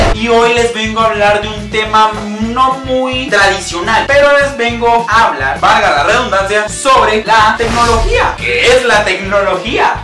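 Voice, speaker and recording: Clear music sounds behind the speech. The speaker is a man. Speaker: comedy vlogger. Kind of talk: comedy monologue vlog. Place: home room.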